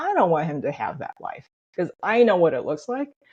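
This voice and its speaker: A woman with an American accent speaks at a moderate pace in a somewhat breathy, medium-pitched voice with very wide pitch swings. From US, Chinese immigrant family. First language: Chinese. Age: 50s. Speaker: copywriter and children's book author. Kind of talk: interview.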